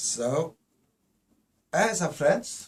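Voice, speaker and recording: Somewhat breathy, a man speaks very slowly with ordinary pitch variation. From Poland. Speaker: spiritual teacher. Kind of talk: lecture. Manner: halting.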